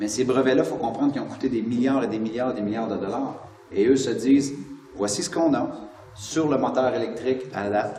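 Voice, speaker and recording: Amid noticeable background noise and audible room echo, a man with a Quebec accent speaks fairly quickly at medium pitch with ordinary pitch variation. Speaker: motivational speaker and author. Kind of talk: interview. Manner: animated.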